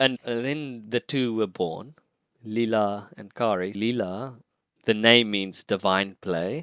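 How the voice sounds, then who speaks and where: With an Afrikaans accent, the speaker goes at a very slow pace in a bright, sharp tone with ordinary pitch variation, captured as a very clean recording with a silent background and a dry, close sound with no echo. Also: man, fairly low pitch for a man. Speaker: team coach and improv teacher. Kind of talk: casual interview chat.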